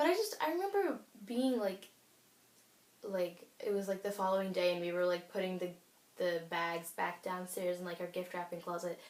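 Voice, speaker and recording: Fairly even intonation and a medium pitch mark this woman's unremarkable speaking voice. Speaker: beauty YouTuber. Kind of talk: casual vlog chat. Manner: fast, filler-heavy.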